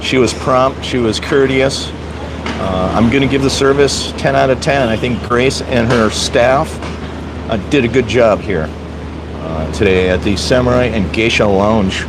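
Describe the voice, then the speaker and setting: A man with an American accent talks at a fairly slow pace, at a medium pitch, with lively intonation. Audible room echo and noticeable background noise fill the recording. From US Midwest, Wisconsin. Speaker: vlogger, live streamer. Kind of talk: live stream food review. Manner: casual, hesitant with fillers.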